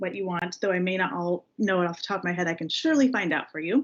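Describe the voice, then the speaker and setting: A woman at medium pitch, fairly quick, with ordinary pitch variation. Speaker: legislative affairs staff presenting to a parks board. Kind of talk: board meeting report. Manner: fast.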